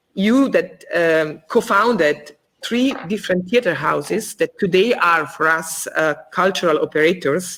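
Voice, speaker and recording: The woman speaks fairly slowly at medium pitch with lively intonation. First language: not English (English is third language). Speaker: theater co-director interviewing guest. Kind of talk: interview, reading prepared questions. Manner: halting, many fillers.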